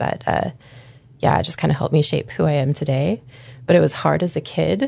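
This woman has a very deep, low pitch, a dark, mellow tone and vocal fry. She speaks at a fairly quick pace. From Anchorage, Alaska. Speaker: burlesque performer and dance company co-owner. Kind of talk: interview. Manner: casual, frequent fillers.

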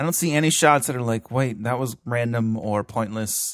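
With an American accent, a man speaks in a normal speaking voice at medium pitch and a moderate pace. His pitch variation is ordinary, and the sound is dry and close with no echo. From Florida. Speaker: movie podcast co-host. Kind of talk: casual chat.

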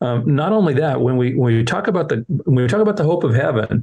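Somewhat breathy, the voice moves at a fairly quick pace. Its intonation is lively. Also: man. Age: 60s. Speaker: children's ministry leader. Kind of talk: interview.

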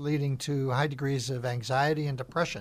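A man with an American accent talks at a fairly quick pace and a medium pitch, his voice somewhat breathy. The intonation is fairly even, and the recording is very clean with a silent background. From US Midwest, northern Illinois. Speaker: radio host and former executive. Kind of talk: radio interview. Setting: studio.

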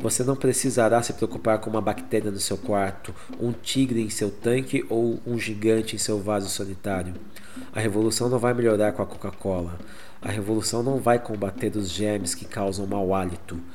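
A man with a Brazilian accent and a fairly low pitch speaks at a very fast pace with fairly even intonation. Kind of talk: spoken word poem, dubbed Portuguese reading of protest poem. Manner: rhythmic, defiant, incisive delivery.

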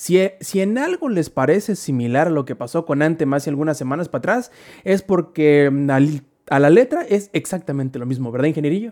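This man speaks at a fairly quick pace with lively intonation, his fairly high pitch carrying a dark, mellow tone. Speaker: gaming podcast host. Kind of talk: casual chat.

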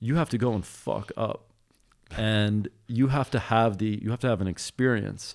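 A man speaks with a plain, everyday voice, his medium pitch varying in an ordinary way at a moderate pace. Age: 30s. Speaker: guest. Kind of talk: casual chat.

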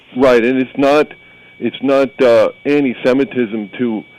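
A fairly slow pace with noticeable background noise. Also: man. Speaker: caller. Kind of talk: call-in conversation about scripture. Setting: phone call.

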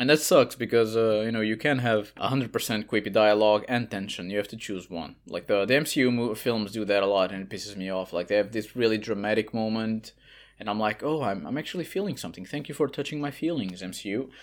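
A man with a Portuguese accent speaks very fast at a fairly low pitch with ordinary pitch variation, on a very clean recording with a silent background. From Portugal. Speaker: writer and translator. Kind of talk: casual chat.

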